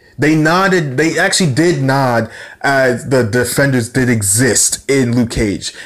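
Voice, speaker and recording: A man speaks fairly slowly at medium pitch with ordinary pitch variation. His loudness stays very even. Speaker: YouTuber reviewing TV shows. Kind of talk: casual review monologue. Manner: halting, many fillers; unscripted, words jumbled.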